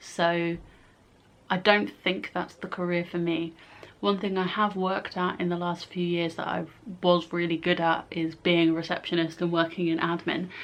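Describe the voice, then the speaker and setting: A woman speaks with an English accent at a moderate pace. Her pitch is fairly low and her intonation monotone, flat. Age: 20s. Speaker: YouTuber. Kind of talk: casual vlog.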